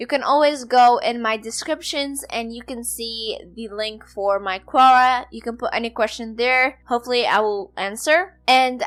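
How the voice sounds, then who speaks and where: At a fairly slow pace with hardly any pauses, a woman speaks at a high pitch with fairly even intonation and big swings in loudness. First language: not English (English is her fourth language). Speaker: podcast host and blogger. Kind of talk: solo podcast tutorial.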